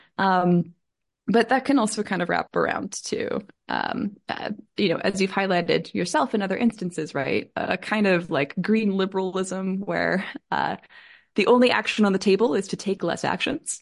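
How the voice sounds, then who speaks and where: With vocal fry and ordinary pitch variation, a woman speaks at a medium pitch. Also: moderate pace. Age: 30s. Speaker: professor. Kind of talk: interview. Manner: halting.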